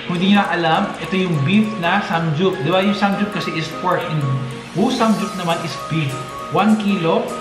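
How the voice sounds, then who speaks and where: Clear music plays in the background. A man speaks at a high pitch and moderate pace, with fairly even intonation. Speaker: mukbang vlogger host. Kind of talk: casual vlog chat. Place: home room. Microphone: camera far.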